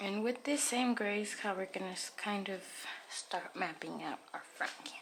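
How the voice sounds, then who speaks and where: Soft-spoken delivery at a moderate pace, ordinary pitch variation, noticeable background noise. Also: woman, medium pitch for a woman. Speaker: painting tutorial host. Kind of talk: painting tutorial talk.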